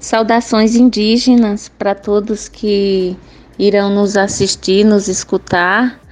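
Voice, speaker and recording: A woman's medium-pitched, flat monotone at a very slow pace, with very even loudness. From Cabrobó, Pernambuco, Brazil. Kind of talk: recorded testimony. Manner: halting.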